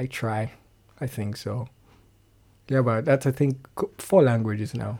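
Fairly slow, somewhat breathy speech from a man, dark and mellow in tone, with ordinary pitch variation, long and frequent pauses, and a very clean recording over a silent background. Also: medium pitch for a man. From Nigeria, Lagos. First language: Yoruba. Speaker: singer-songwriter. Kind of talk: casual interview chat. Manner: halting, hesitant, laughs often.

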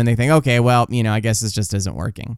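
A man's medium-pitched voice on a very clean recording with a silent background. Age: 40s. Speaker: book review podcaster. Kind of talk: casual monologue. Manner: halting.

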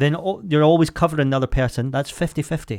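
Delivered at a fairly quick clip, an unremarkable speaking voice comes through on a very clean recording with a silent background. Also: man. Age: 30s. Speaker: podcast co-host. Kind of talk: casual chat.

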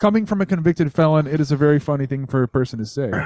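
The sound is dry and close, with no echo. Its tone is dark and mellow. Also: man. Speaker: podcast host. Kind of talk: casual chat.

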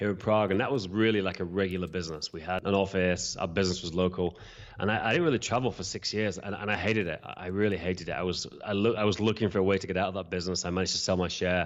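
Talking at a very fast pace, a man with a British accent uses a very deep, low pitch and fairly even intonation. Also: hardly any pauses. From UK. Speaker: event software entrepreneur and podcast host. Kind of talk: casual interview chat; podcast intro monologue.

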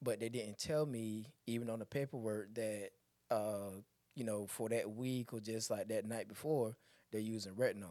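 A dark, mellow tone at a moderate pace, with fairly even intonation. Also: man. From Elizabeth City, North Carolina. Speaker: esthetician and former barber. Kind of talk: casual interview.

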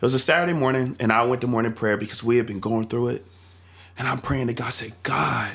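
A man with an American accent, medium pitch and an animated tone at a fairly quick pace. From North Carolina. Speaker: church youth leader. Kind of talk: casual chat.

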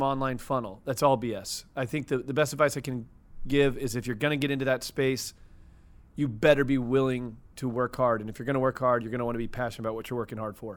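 Speaking at a fairly quick pace with a Midwestern American accent, a man talks at medium pitch with ordinary pitch variation on a very clean recording with a silent background. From US Midwest, St. Louis, Missouri. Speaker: media entrepreneur. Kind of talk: casual interview chat. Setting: studio.

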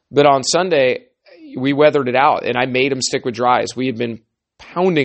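Using an unremarkable speaking voice at medium pitch, a man talks at a moderate pace with fairly even intonation. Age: 40s. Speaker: fly fishing guide and podcast host. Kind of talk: solo podcast talk. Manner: casual.

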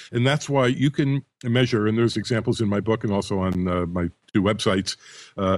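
At a fairly quick pace, a man with an unremarkable speaking voice talks at a medium pitch with ordinary pitch variation against a quiet background. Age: 60s. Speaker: audio expert and author. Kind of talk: casual chat. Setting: Skype call. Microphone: good quality audio.

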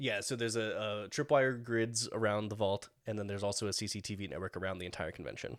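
Fairly low in pitch and fairly even in intonation, a man speaks at a very fast pace with hardly any pauses. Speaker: game master running a tabletop RPG. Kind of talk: casual tabletop roleplaying game session.

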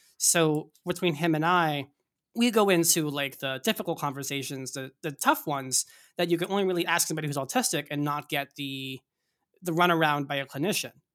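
Fairly high in pitch with ordinary pitch variation, a man with an American accent and a normal speaking voice talks at a fairly quick pace. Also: very clean recording, silent background. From US Northeast. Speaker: tech company CTO. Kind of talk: casual interview.

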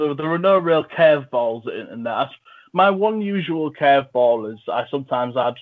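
A man speaks with an English accent. His pace is fairly quick and his intonation lively. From England. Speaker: film review podcast host. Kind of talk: casual chat.

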